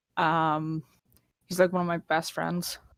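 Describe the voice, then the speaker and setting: In a very clean recording with a silent background, a woman with a fairly low pitch speaks at a moderate pace in a monotone, flat intonation. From Northern Ireland, Derry. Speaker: casual gamer. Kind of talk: casual chat.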